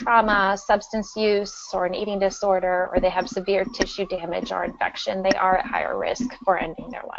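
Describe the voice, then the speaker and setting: In a normal speaking voice, a woman talks at a medium pitch and moderate pace with ordinary pitch variation, big swings in loudness and hardly any pauses. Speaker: school psychologist. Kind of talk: webinar presentation. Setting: webinar.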